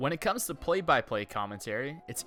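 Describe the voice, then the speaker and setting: A man talks at a fairly quick pace with very wide swings in pitch. Music plays in the background. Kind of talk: educational narration.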